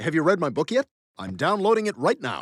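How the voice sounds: Using a cartoonish character voice at high pitch, a man speaks at a fairly quick pace on a very clean recording with a silent background.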